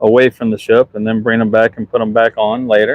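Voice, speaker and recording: Delivered with fairly even intonation, this voice carries a Southern US accent. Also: man. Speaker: museum ship superintendent. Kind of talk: livestream walkthrough. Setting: outdoors on a ship underway. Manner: casual, halting.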